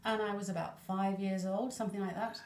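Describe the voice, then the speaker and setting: Audible room echo and noticeable background noise both surround a woman's speech. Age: 60s. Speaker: Elvis fan and enthusiast. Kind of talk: casual interview chat.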